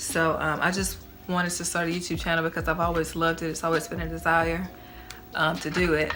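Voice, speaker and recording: A woman with a fairly low voice talks at a fairly quick pace, with music in the background and audible room echo. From Tennessee. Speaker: YouTuber. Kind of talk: casual vlog talk. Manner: casual, filler-heavy.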